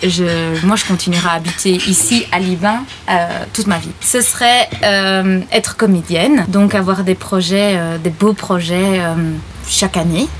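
Over noticeable background noise, a woman with a medium-pitched voice talks at a fairly slow pace. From Belgian Ardennes (Libin). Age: 20s. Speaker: actress and translation student. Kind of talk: casual interview chat. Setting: outdoors in a family garden. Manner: halting, with repetitions and hesitations.

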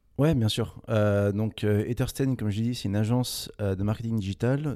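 At a moderate pace, a man speaks in a dark, mellow tone with fairly low pitch and fairly even intonation, captured in a very clean recording with a silent background. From Paris region, France. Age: 20s. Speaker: entrepreneur. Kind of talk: interview. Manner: halting, many repetitions and fillers.

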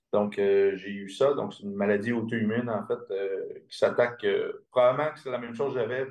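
A man speaks at a fairly quick pace. His intonation is flat and monotone. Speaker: integrative medicine practitioner. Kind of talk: interview.

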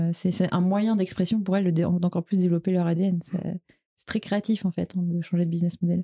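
A woman speaks in a fairly low voice. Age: 30s. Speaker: startup co-founder and CEO. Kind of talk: podcast interview. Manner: halting, many repetitions and fillers.

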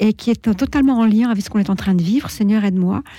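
A woman's medium-pitched, somewhat breathy voice with a dark, mellow tone, at a fairly quick pace and with ordinary pitch variation, on a very clean recording with a silent background. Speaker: retired editor-in-chief, charity president. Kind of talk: radio talk show discussion. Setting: radio studio.

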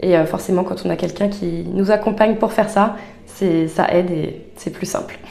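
A woman's medium-pitched voice at a moderate pace with monotone, flat intonation, plus audible room echo and noticeable background noise. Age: 30s. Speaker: life coach. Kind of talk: casual interview chat. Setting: in person, recorded at a coaching venue.

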